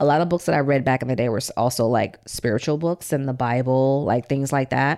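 Her very deep, low pitch and dark, mellow tone carry a woman's fairly quick speech, with ordinary pitch variation and hardly any pauses. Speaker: author and showrunner. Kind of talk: casual interview storytelling.

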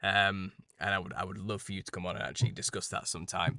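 Against a quiet background, the speaker talks at a very fast pace in a British accent. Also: man. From England. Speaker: conspiracy podcast host. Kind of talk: interview conversation.

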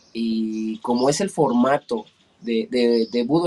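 Here a man talks with ordinary pitch variation. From Mexico, State of Mexico. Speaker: muay thai fighter. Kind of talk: interview. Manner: halting, frequent repetitions.

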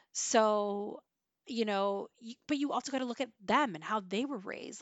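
Animated in tone, a woman speaks at a fairly slow pace and a fairly high pitch with ordinary pitch variation. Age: 40s. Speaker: parenting podcast host. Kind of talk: casual monologue.

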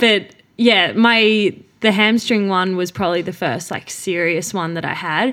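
A woman with an Australian accent and a medium pitch talks at a fairly slow pace with ordinary pitch variation, on a very clean recording with a silent background. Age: 20s. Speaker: professional middle distance runner. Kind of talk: casual interview. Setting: home studio in a living room.

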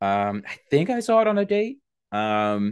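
Fairly low-pitched man with an American accent, fairly even intonation, and a quiet background. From New York, Long Island. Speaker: podcast host, guest host. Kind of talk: casual chat.

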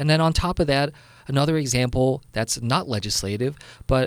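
Against a silent background in a very clean recording, a man with an American accent speaks in an unremarkable speaking voice at a fairly quick pace with ordinary pitch variation. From New Jersey. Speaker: congressman. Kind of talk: interview.

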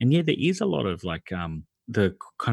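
This man has an Australian accent and lively intonation at a moderate pace. The recording is very clean, with a silent background. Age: 40s. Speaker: podcaster. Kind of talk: casual chat.

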